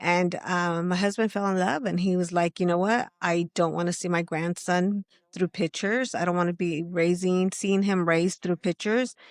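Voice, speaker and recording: Over a quiet background, with a dry, close sound and no echo, a woman with an American accent uses a plain, everyday voice, fairly low in pitch, at a moderate pace with hardly any pauses, fairly even intonation and very even loudness. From California, LA area. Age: 50s. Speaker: grandmother. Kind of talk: casual chat.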